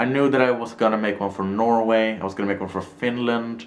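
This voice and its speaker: With noticeable background noise and audible room echo, a man speaks fairly quickly at a fairly low pitch. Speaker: YouTuber. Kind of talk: casual vlog. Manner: fast.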